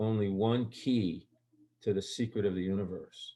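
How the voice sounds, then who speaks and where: The man talks with fairly even intonation. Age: 60s. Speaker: guest sharing unusual life experiences. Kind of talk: storytelling interview. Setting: recorded conversation. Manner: halting, with many restarts and fillers.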